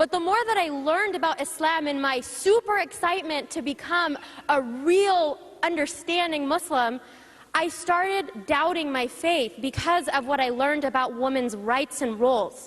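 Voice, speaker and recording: A loud woman's voice, high-pitched and animated, with lively intonation at a moderate pace, against noticeable background noise. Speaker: panelist. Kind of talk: panel talk.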